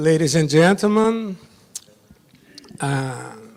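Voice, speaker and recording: A man with a Brazilian Portuguese accent speaks at a very slow pace with ordinary pitch variation. There is noticeable background noise behind him. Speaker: judge. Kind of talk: conference presentation.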